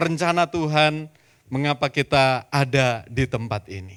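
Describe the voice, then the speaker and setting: A man with a Javanese accent speaks at a fairly high pitch with ordinary variation, in a dry, close sound with no echo. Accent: Javanese-accented Indonesian. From East Java, Surabaya. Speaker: pastor. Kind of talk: sermon. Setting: church.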